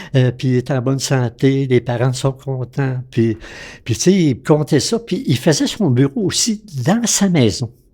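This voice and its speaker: A man's dark, mellow, somewhat breathy voice at a fairly slow pace with lively intonation, on a very clean recording with a silent background. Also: medium pitch for a man. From Quebec, Lac-Saint-Jean region. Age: 80s+. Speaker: retired physician. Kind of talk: interview storytelling. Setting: at his home.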